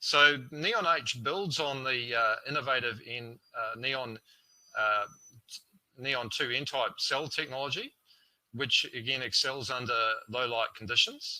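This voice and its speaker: Speaking in a New Zealand accent at a medium pitch, a man goes at a fairly slow pace. Long, frequent pauses break up his speech. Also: ordinary pitch variation. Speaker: solar panel sales representative. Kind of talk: product presentation. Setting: online webinar. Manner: halting, filler-heavy.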